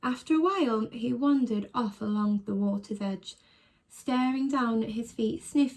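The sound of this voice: The reading voice here is unforced. Pitch shifts in an ordinary manner.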